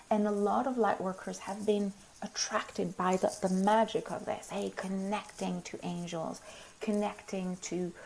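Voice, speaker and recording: A woman with a plain, everyday voice speaks at medium pitch and a fairly slow pace, her intonation fairly even. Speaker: spiritual teacher. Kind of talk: live stream talk. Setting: live video stream.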